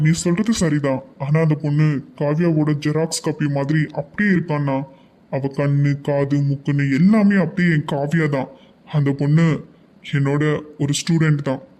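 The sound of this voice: A cartoonish character voice speaks at a fairly slow pace with fairly even intonation. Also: man, fairly high pitch for a man.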